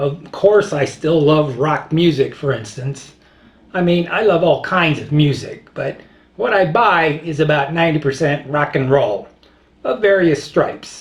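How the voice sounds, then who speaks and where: A man talks at a fairly slow pace in a normal speaking voice. His pitch is fairly high, with ordinary variation. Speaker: video blogger. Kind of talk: casual monologue.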